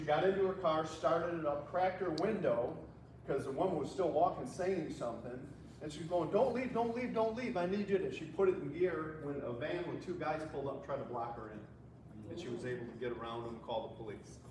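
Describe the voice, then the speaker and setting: The man's pitch is fairly high and his intonation lively. Audible room echo and noticeable background noise surround his voice. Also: fairly quick pace. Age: 60s. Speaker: police trainer. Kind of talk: safety seminar talk. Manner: conversational storytelling.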